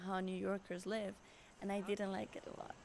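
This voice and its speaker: Her medium-pitched voice moves at a fairly quick pace with monotone, flat intonation. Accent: Colombian. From Colombia, Bogota. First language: Spanish. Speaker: interviewee. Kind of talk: interview. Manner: hesitant, many fillers and repeats.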